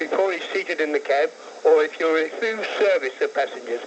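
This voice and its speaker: Speaking at a fairly quick pace with an English accent, a man is heard over noticeable background noise. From London, England. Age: 60s. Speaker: caller, taxi driver. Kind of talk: phone-in call. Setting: phone call.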